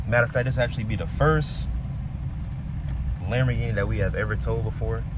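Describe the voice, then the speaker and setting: The speech moves at a very fast pace over loud background noise. The sound is dry, with no echo. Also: man. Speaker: tow truck driver vlogger. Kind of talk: casual vlog chat. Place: car. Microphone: phone near.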